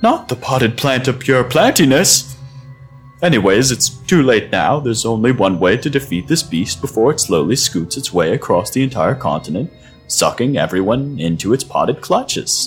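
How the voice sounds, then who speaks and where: A squeaky put-on character voice speaks at a moderate pace. Faint music plays in the background. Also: man, medium pitch for a man. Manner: brisk, authoritative.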